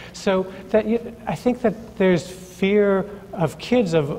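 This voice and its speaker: With an American accent, a man speaks using ordinary pitch variation. There is noticeable background noise. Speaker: early childhood education professor. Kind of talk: panel discussion. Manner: halting, many fillers and repetitions.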